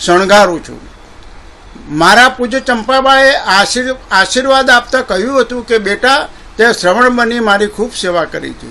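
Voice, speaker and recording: Over noticeable background noise, a man uses a raised, projected voice at an extremely high pitch with ordinary pitch variation. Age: 70s. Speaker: presenter. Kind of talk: prepared speech. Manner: formal.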